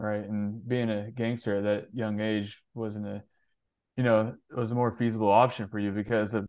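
A man talks at a moderate pace with a fairly low pitch. It is an ordinary speaking voice. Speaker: podcast host. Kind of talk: casual interview chat.

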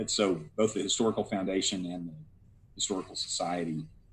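A man with an American accent, very deep and low in pitch, talking at a very fast pace with fairly even intonation. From Texas, Dallas area. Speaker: federal judge. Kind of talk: interview.

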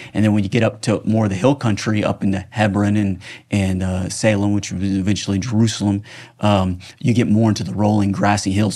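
Rattling along at a very fast pace, a man with an American accent speaks at a fairly low pitch in a dark, mellow tone with monotone, flat intonation. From United States. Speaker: film director and screenwriter. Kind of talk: casual interview. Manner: halting, repetitive false starts.

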